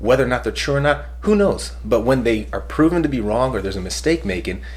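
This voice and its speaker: Very fast male speech amid audible room echo and noticeable background noise. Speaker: podcast host. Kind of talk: casual chat.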